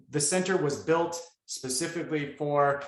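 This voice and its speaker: A man speaks with audible room echo. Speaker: keynote speaker, researcher on misinformation. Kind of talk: conference keynote Q&A. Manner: fast; hesitant, many fillers.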